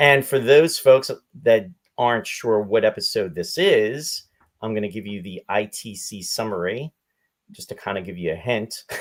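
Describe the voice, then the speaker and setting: An ordinary speaking voice from a man, medium in pitch and moderate in pace, shows big swings in loudness. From Canada, Saskatchewan (Regina). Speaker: podcast host. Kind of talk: casual chat.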